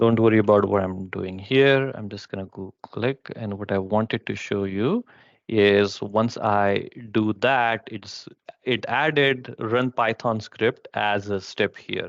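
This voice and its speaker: A man with an unremarkable speaking voice talks slowly at a fairly low pitch, his intonation fairly even but his loudness swinging widely. The sound is dry with no echo, over a quiet background. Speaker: presenter at a user group session; presenter. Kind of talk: technical presentation with live demo. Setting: live online session. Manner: many filler words. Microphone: headset.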